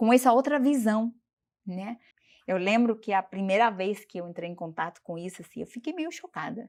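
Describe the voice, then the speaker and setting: A woman speaks at a fairly quick pace. She has a non-native accent. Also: very clean recording, silent background. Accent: foreign speaker of Portuguese. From Bolivia. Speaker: doctor. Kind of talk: interview.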